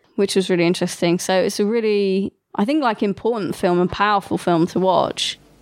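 Medium-pitched and showing ordinary pitch variation, the woman's voice is an unremarkable speaking voice. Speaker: podcast co-host. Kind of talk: casual chat. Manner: casual, conversational.

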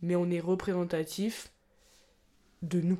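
This woman has a dark, mellow tone. Her pace is fairly slow. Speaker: podcast co-host. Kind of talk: casual chat.

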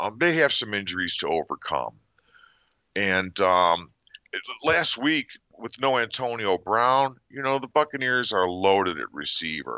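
A man with a fairly low pitch speaks at a fairly slow pace, his pitch swinging very widely. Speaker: sports betting analyst. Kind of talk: casual chat.

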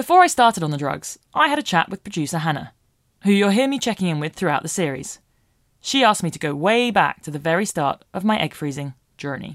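On a very clean recording with a silent background and a dry, close sound with no echo, a woman with a British accent talks very fast at a fairly low pitch, her voice making very wide pitch swings. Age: 30s. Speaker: podcast host and writer. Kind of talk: narrated diary-style podcast with interviews.

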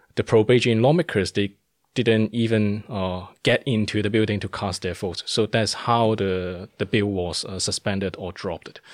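Here a man with a Cantonese accent speaks at a moderate pace and fairly low pitch. His intonation is fairly even, and the sound is dry and close with no echo. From Hong Kong. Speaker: political activist. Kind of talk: interview. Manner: hesitant, many fillers.

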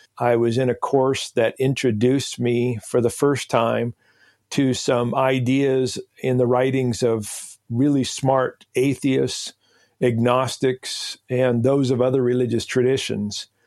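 Speaking at a very slow pace with a monotone, flat intonation and very even loudness, a man with an American accent uses a medium pitch. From eastern Washington State, US. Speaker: theologian and author. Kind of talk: interview.

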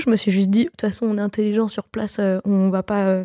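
Recorded with a dry, close sound and no echo, a woman speaks at a medium pitch in a dark, mellow tone with fairly even intonation. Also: very clean recording, silent background. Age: 20s. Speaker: singer. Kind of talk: casual chat.

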